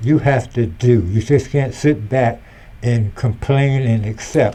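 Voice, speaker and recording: Somewhat breathy and dark, mellow in tone, a man talks fairly slowly at a medium pitch with ordinary pitch variation. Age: 70s. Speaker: retired engineer and community volunteer. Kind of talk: casual interview chat.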